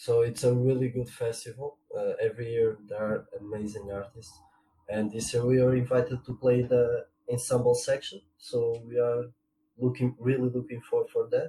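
A man with a Portuguese accent, medium pitch, moderate pace and monotone, flat intonation. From Portugal. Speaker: trombonist. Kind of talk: interview. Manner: halting.

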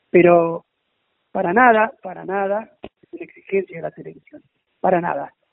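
A man is speaking. His pitch is high. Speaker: boxing federation official. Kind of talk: phone interview.

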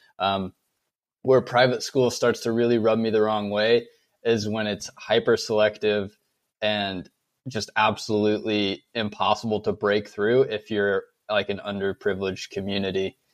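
With monotone, flat intonation, the talking proceeds at a moderate pace. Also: man, fairly low pitch for a man. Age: 20s. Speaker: host's brother. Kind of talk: casual chat.

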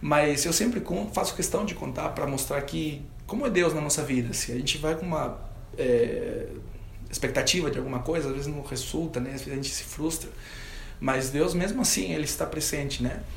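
Fairly quick speech in a Spanish accent, with audible room echo and noticeable background noise. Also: man. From Peru. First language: Spanish (speaking Portuguese). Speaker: professional guitarist. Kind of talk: testimony.

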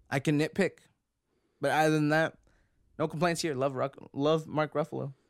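With a fairly high pitch, a man speaks at a moderate pace with long, frequent pauses on a very clean recording with a silent background. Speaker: podcast host. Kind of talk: casual chat. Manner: animated when comedic.

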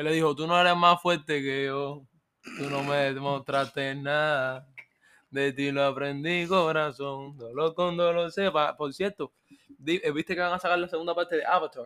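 A man talks with a fairly high pitch. He has a plain, everyday voice. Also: fairly even intonation. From Cuba. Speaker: podcast host. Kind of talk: casual chat.

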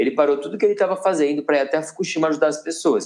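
A man is speaking. His pitch is fairly high. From Campinas, São Paulo state, Brazil. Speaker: travel content creator. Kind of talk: interview conversation. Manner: animated.

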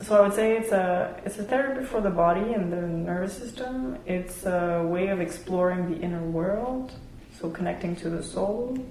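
With noticeable background noise, a woman speaks at a moderate pace and medium pitch with ordinary pitch variation. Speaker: sound healer. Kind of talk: casual interview chat.

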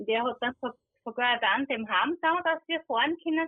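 With lively intonation, a woman speaks at a moderate pace in a high pitch. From Austria, Styria. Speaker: visually impaired interviewee. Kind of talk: casual interview. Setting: phone call.

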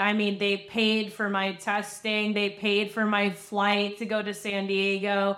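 A woman with an American accent talks very slowly at a medium pitch, her intonation flat and monotone, on a very clean recording with a silent background. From Long Island, New York. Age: 30s. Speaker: former adult film performer. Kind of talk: interview testimony.

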